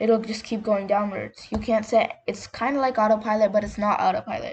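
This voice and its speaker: An unremarkable speaking voice from a woman, fairly high in pitch with ordinary pitch variation, at a fairly quick pace. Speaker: gaming YouTuber. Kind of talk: gameplay tutorial. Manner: casual, filler-heavy.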